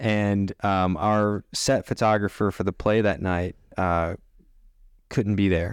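Very slowly, a man with an American accent and fairly low pitch speaks in fairly even intonation, his sound dry and close with no echo in a very clean recording with a silent background. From US South, Tennessee. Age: 30s. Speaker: photographer and business founder. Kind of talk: casual interview.

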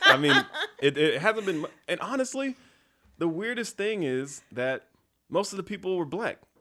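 Projecting a raised voice with an American accent, a man speaks high in pitch at a moderate pace, swinging very widely in pitch and leaving long, frequent pauses. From US South, Fayetteville, North Carolina. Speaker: tech consultant and think tank founder. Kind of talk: casual interview. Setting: studio.

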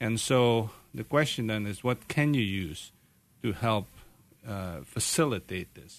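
A man with a fairly low pitch speaks at a fairly slow pace, with long, frequent pauses and lively intonation. His loudness swings widely, and the background is quiet. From Canada. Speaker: medical doctor, pain specialist. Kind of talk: radio interview. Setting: radio studio.

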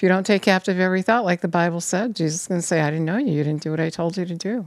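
A woman with a fairly low pitch speaks in an unremarkable speaking voice with ordinary pitch variation. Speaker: preacher. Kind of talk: sermon, preacher in full flow, urgent exhortation ending in prayer. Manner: fervent, insistent, pressing repeated phrases like a hammering appeal.

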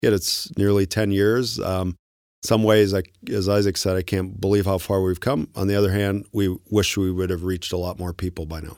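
Recorded very cleanly against a silent background, a plain, everyday voice speaks at a moderate pace with fairly even intonation. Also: man, fairly low pitch for a man. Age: 50s. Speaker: tech company co-founder. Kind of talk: interview.

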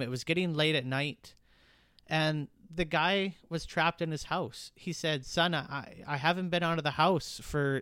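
With a Western Canadian accent, a man speaks in a fairly high voice. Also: very clean recording, silent background. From British Columbia, Canada. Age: 30s. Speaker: podcast host, small business owner. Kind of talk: casual monologue.

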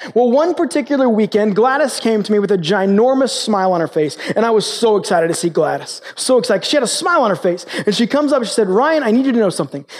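A man speaks very fast in a high voice with lively intonation, hardly any pauses, and very even loudness. Noticeable background noise runs underneath. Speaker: pastor. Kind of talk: sermon. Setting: stage with audience.

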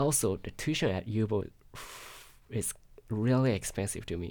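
With a Japanese accent, a man speaks at a fairly low pitch with ordinary pitch variation. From Japan, Yokohama. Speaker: international student. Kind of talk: interview. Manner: halting.

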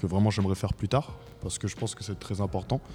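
A man speaks at a fairly quick pace in a fairly low pitch, with a dark, mellow tone and ordinary pitch variation. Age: 20s. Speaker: civic service volunteer, debate participant. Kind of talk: panel debate.

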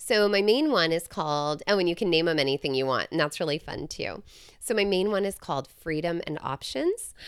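In an ordinary speaking voice, a woman with an American accent talks at a fairly quick pace, with lively intonation and a fairly low pitch. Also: very clean recording, silent background. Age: 40s. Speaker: podcast host. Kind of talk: solo advice monologue. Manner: casual, chatty with fillers.

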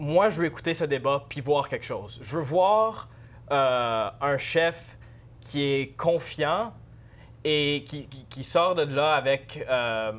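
Speaking at a very slow pace, a man with a fairly high pitch shows ordinary pitch variation and big swings in loudness. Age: 20s. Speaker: university student, first-time voter. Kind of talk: interview.

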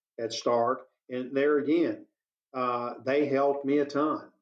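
Speaking with a Texan accent, a man talks at a fairly slow pace in a monotone, flat intonation. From East Texas. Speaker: business owner. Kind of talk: interview.

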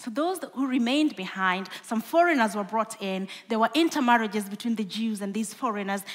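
With a Kenyan accent, a woman talks at a fairly quick pace in a fairly high pitch, with lively intonation and hardly any pauses. Noticeable background noise runs underneath. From Kenya (western, Lake Victoria shore). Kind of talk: sermon-style talk. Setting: stage with audience.

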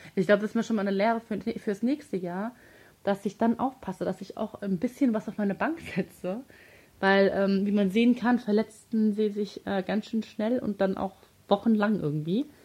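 A woman talks at a moderate pace in a dark, mellow tone. Her voice is somewhat breathy. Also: medium pitch for a woman, ordinary pitch variation. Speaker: football podcast co-host. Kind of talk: casual chat. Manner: animated.

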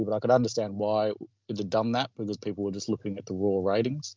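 The voice belongs to a man with a fairly low pitch. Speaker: betting tipping service founder. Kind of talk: casual interview.

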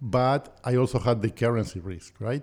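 This man has a medium pitch, a dark, mellow tone and ordinary pitch variation. He speaks at a fairly slow pace in a very clean recording with a silent background. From Argentina (Buenos Aires). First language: Spanish. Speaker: real estate investor. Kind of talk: interview conversation.

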